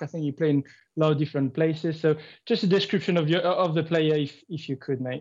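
Pitch varies in an ordinary way over a quiet background. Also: man. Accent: French. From France, Marseille. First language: French. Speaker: football podcast co-host. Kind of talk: casual chat.

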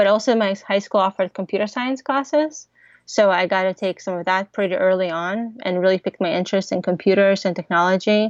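A woman with a normal speaking voice talks at a fairly quick pace and a medium pitch. Her pitch varies in an ordinary way, and the sound is dry and close with no echo. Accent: American. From Ukraine (Odesa), then Kansas from age 10. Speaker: tech startup founder. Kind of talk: interview.

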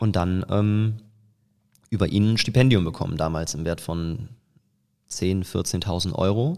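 Pausing long and often, a man speaks at a fairly slow pace with a very deep, low pitch, a dark, mellow tone and ordinary pitch variation, in a very clean recording with a silent background. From Eifel, western Germany. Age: 20s. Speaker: business coach and facial expression trainer. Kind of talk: casual interview. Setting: outdoors on location. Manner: frequent fillers (ähm).

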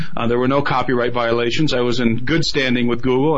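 Noticeable background noise sits behind a man at medium pitch. He talks at a fairly quick pace with fairly even intonation. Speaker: filmmaker and researcher. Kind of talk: radio interview.

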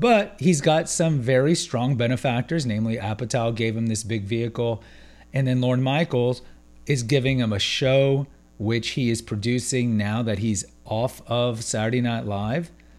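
This man has a normal speaking voice at medium pitch, speaking at a moderate pace with ordinary pitch variation. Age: 40s. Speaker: podcast host. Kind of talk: solo commentary monologue.

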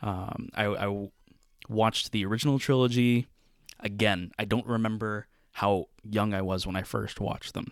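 With an unremarkable speaking voice, a man talks at a moderate pace, his fairly low pitch held in fairly even intonation. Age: 20s. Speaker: podcast co-host and pre-law student. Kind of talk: casual chat.

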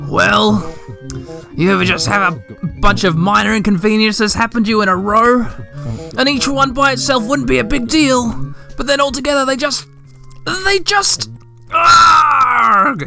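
Over clear background music, a strained, fairly high put-on character voice speaks at a moderate pace. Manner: cranky, irritated.

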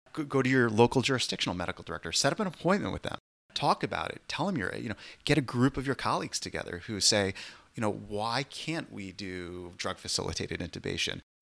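On a very clean recording with a silent background, a man with medium pitch and vocal fry speaks very fast, his pitch swinging very widely. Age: 40s. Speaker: emergency physician. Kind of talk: casual chat.

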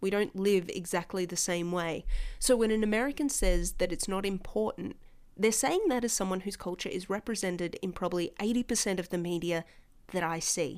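On a very clean recording with a silent background, a woman with an Australian accent speaks at a fairly quick pace and medium pitch, in an animated tone with ordinary pitch variation. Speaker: podcast host. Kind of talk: casual chat.

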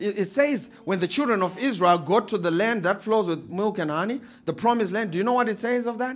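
A man with a Zimbabwean accent, high in pitch with ordinary variation, animated in tone, at a fairly quick pace with hardly any pauses. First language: Shona. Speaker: pastor. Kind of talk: sermon. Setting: church.

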